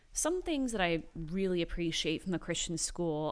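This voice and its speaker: In a very clean recording with a silent background, a woman speaks at a moderate pace with lively intonation. She has an unremarkable speaking voice, fairly low in pitch. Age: 20s. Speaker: podcast host's wife sharing her faith story. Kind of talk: casual chat. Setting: home garage studio.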